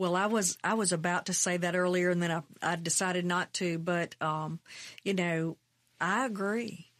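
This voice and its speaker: Someone with a Mississippi accent speaks at a moderate pace with very even loudness and fairly even intonation, on a very clean, dry, close recording with a silent background and no echo. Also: woman, fairly low pitch for a woman. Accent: Southern US (Mississippi). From US South, Mississippi. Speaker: state legislator. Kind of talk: interview.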